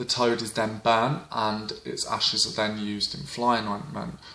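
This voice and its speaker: A man at a moderate pace with fairly even intonation, plus noticeable background noise. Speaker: witchcraft folklore vlogger. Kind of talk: informal educational talk. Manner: hesitant with frequent fillers.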